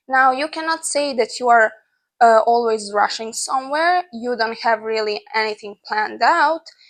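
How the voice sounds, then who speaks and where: With a non-native accent, a woman talks at a moderate pace in a high voice with ordinary pitch variation. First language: not English. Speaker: lifestyle vlogger. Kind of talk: casual advice vlog. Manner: conversational with fillers.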